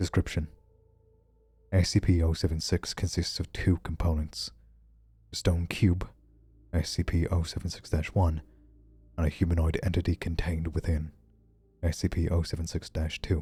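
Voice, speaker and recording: The man's pitch is very deep and low, his intonation monotone and flat. He keeps a moderate pace broken by long, frequent pauses. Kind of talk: horror document reading.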